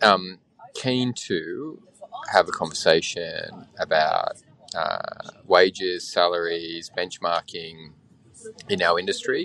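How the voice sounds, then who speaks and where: Over noticeable background noise, a man with an Australian accent speaks at a very slow pace. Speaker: brewery manager. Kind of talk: voicemail message. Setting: recorded phone message.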